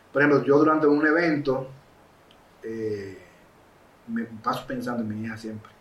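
A man speaks at medium pitch and a moderate pace with ordinary pitch variation, long and frequent pauses, and big swings in loudness, while audible room echo and noticeable background noise come through. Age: 40s. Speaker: filmmaker and photographer. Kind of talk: casual interview.

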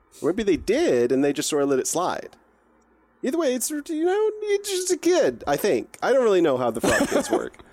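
A man performs a put-on character voice at a moderate pace. The pitch is extremely high for a man. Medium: actual play. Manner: laid-back, casual, mildly profane.

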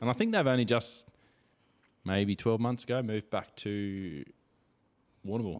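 Using an Australian accent, a man with a medium pitch and ordinary pitch variation speaks at a moderate pace with long, frequent pauses. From Victoria, Australia. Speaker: podcast host. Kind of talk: casual chat. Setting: home studio.

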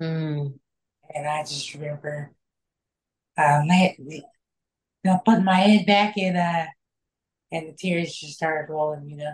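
A woman with an American accent speaks in a very deep, low, somewhat breathy voice at a fairly slow pace, with fairly even intonation. Her loudness swings widely, and she takes long, frequent pauses. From Kansas. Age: 30s. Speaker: shooting survivor sharing recovery story. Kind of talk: testimony. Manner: halting, many fillers.

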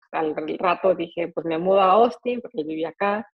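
A woman with a Mexico City accent speaks at a medium pitch with ordinary pitch variation. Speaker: pastry chef and entrepreneur. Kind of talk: interview.

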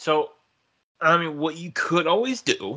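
The speech moves at a fairly slow pace with lively intonation. The tone is bright and sharp. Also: man. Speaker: wrestling podcast co-host. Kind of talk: casual trivia chat.

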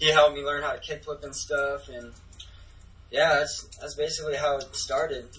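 Noticeable background noise fills the clip. Over it, a man talks with an American accent. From Minnesota. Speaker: professional skateboarder. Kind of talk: casual chat.

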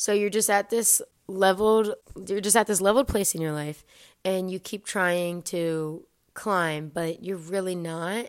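An ordinary speaking voice, fairly slow and fairly even in intonation, on a very clean recording with a silent background. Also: woman, medium pitch for a woman. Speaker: podcast host. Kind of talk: solo podcast monologue, casual.

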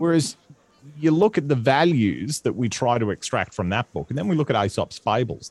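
A man with an Australian accent and vocal fry speaks at a moderate pace, recorded with a dry, close sound with no echo. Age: 30s. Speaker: comedian. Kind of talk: casual chat. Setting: home studio.

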